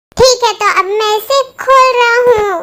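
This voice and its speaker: Putting on a squeaky character voice at an extremely high pitch, a woman speaks at a moderate pace with fairly even intonation. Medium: audio drama. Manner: dramatic, comic overreaction.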